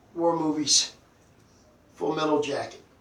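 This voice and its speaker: Noticeable background noise and audible room echo. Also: man. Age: 70s. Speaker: collector and Vietnam-era Marine veteran. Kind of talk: casual video show-and-tell. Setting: home collection room, filming on tablet. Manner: hesitant with many fillers.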